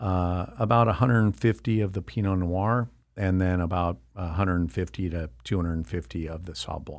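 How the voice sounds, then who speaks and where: A very deep, low-pitched man speaks with hardly any pauses and ordinary pitch variation on a very clean recording with a silent background. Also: fairly quick pace. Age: 60s. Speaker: winery owner. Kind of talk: interview. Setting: studio.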